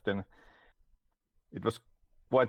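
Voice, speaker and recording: The speaker has a Finnish accent. The pace is fairly quick. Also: man. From Finland. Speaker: game developer. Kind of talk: interview.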